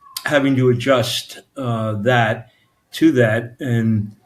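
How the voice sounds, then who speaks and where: A fairly even intonation carries this voice, spoken with a New York accent. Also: man. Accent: Brooklyn-like New York. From New York City area, Staten Island. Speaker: author. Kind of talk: interview. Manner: halting, many fillers.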